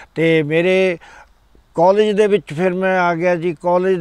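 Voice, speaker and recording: A man's voice, high in pitch, with fairly even intonation. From Punjab, India (Ludhiana area). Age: 70s. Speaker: senior club volunteer. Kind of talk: interview. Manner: halting.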